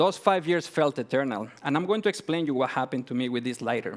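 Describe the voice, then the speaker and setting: This man has a Mexican accent and lively intonation. The recording is very clean, with a silent background. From Mexico. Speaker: entrepreneur. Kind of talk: pitch presentation. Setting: stage with audience.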